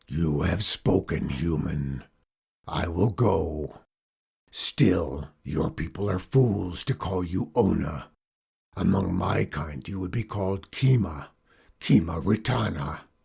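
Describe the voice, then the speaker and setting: Putting on a growling character voice, a man speaks at a very deep, low pitch. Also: fairly slow pace. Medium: read story. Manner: growling, hissing.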